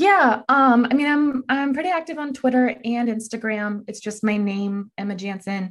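A woman with an American accent speaks at a moderate pace with hardly any pauses, her pitch fairly high and hers a plain, everyday voice. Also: lively intonation. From Texas. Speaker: journalist and author. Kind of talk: interview.

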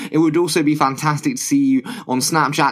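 A man's fairly high-pitched voice amid noticeable background noise. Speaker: podcast host. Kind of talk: podcast intro and outro.

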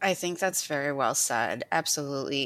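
A woman with a plain, everyday voice speaks at a moderate pace with lively intonation. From US, Ukrainian-American family. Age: 40s. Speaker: poet. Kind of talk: casual interview.

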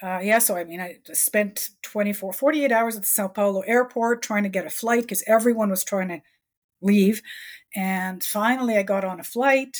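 A woman talks in a normal speaking voice at a moderate pace. The recording is very clean, with a silent background. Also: medium pitch for a woman, ordinary pitch variation. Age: 60s. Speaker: author. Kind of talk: interview conversation.

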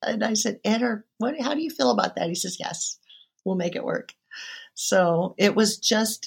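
A woman with a Midwestern American accent, lively intonation, and vocal fry. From western Iowa, small town. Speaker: urban farmer and teacher. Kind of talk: interview conversation.

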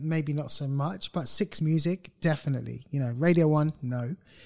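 Someone with a British accent talks at a fairly slow pace on a very clean recording with a silent background. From UK. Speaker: podcast host. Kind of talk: casual chat.

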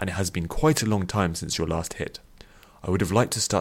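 This clip features plain reading aloud.

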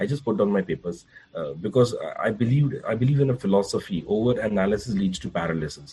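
A very fast, somewhat breathy man's voice, fairly low in pitch and dark and mellow in tone, with lively intonation. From India, Mumbai. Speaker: corporate trainer. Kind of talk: interview.

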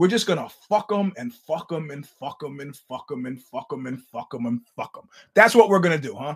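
A man with a fairly high pitch speaks at a moderate pace, his voice somewhat breathy. His intonation is lively, and his loudness swings widely. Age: 50s. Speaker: podcast host. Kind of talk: casual monologue. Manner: animated.

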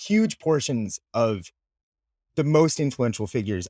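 A man with an American accent speaks in an ordinary speaking voice with lively intonation. The sound is dry and close, with no echo. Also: very clean recording, silent background. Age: 30s. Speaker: writer and journalist. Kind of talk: interview.

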